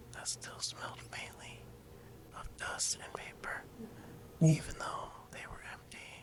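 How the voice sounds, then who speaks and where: Whispering at a fairly slow pace with long, frequent pauses comes through over noticeable background noise. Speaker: ASMR creator. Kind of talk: sleep story reading. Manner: soft-spoken.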